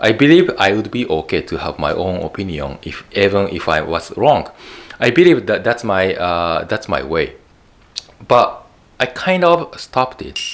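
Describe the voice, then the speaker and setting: Speaking at a moderate pace, a man talks with a Japanese accent. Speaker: YouTube educator. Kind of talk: talking-head video monologue. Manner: halting, many fillers and repeats.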